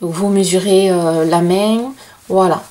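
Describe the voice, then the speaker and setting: The intonation stays fairly even. The speaker is a woman. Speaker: crochet channel host. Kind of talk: tutorial. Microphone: camera far.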